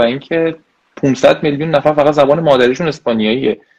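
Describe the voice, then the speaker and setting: Fairly high in pitch, a man talks at a very fast pace. His pitch varies in an ordinary way. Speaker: PhD student. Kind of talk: interview. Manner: hesitant, with fillers.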